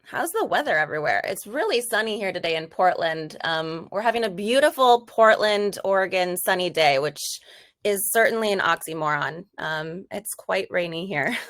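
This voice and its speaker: An ordinary speaking voice from a woman with an American accent, medium-pitched, with lively intonation at a moderate pace. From US Midwest, Wisconsin. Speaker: customer team member, webinar presenter. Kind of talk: casual webinar intro.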